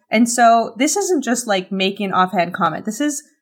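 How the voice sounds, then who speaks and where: With a Canadian accent, a woman talks at a moderate pace using ordinary pitch variation. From Canada. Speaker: social media influencer and podcaster. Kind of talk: casual interview chat.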